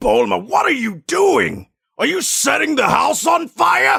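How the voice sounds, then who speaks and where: In a put-on character voice, a man is shouting at a fairly slow pace. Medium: dub. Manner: gruff, demanding.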